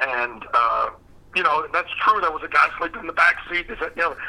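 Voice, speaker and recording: The speaker has a Southern US accent and keeps a moderate pace. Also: man. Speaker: former wrestling manager. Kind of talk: interview.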